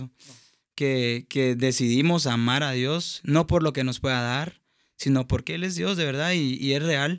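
A man's fairly high-pitched, fairly slow delivery with ordinary pitch variation in a normal speaking voice, on a very clean recording with a silent background. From Guatemala, Escuintla. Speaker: singer and producer. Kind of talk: testimony.

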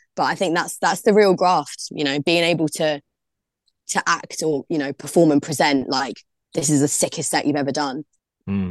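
This woman, with a South London accent, has a very deep, low pitch with ordinary variation and a moderate pace. The background is quiet and the sound is dry and close, with no echo. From London, Brixton. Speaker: DJ. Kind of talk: casual interview.

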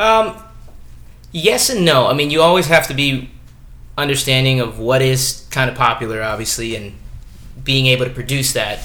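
A man speaks at a moderate pace and medium pitch, with lively intonation, long and frequent pauses, and audible room echo. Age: 20s. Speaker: professional stuntman. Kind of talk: casual chat.

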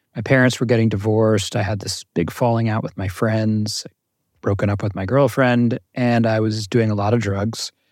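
A man's fairly low, monotone voice with flat intonation and an American accent, moderate pace, quiet background. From US Northeast, North Jersey. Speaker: mindfulness teacher. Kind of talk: interview.

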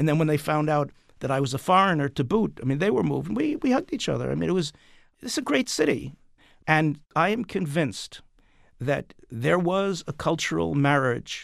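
A man with an American accent talks in a plain, everyday voice at a fairly high pitch. The recording is very clean, with a silent background. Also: lively intonation, moderate pace. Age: 60s. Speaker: playwright and author. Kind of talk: interview.

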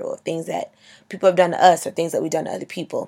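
On a very clean recording with a silent background, a woman talks at a very fast pace. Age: 20s. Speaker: podcast host. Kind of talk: motivational monologue. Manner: loud; animated.

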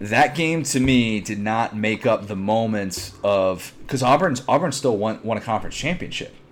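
A man with an American accent talks at a moderate pace and a medium pitch. His intonation is lively, and he hardly pauses. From Chicago area. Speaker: sports podcast host. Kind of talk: casual chat. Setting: remote recording.

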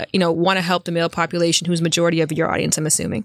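The intonation is fairly even. The sound is dry and close, with no echo. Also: woman. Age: 30s. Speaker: sex and relationships educator. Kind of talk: casual interview.

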